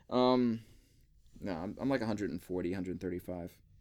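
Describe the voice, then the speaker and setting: The speaker is a man. His tone comes across bright and sharp. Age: 30s. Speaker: podcast host, anime and gaming blogger. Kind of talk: casual chat.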